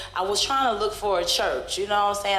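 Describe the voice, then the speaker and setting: A woman's medium-pitched, animated voice at a fairly quick pace, with ordinary pitch variation, audible room echo and noticeable background noise. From Brooklyn, New York. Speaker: stand-up comedian. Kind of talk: stand-up. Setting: stage with audience.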